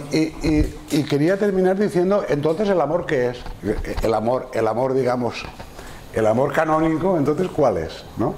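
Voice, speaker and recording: A man talks with lively intonation while light background noise plays behind. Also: fairly high pitch for a man, moderate pace. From Spain. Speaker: psychiatrist lecturer. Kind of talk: lecture. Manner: halting. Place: classroom. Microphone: lapel.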